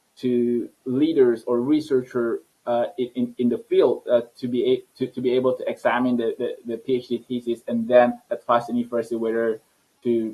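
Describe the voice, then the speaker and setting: The man's intonation stays monotone and flat. He talks at a moderate pace with medium pitch. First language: not English. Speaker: scientist and entrepreneur. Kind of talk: interview. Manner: halting, many repetitions.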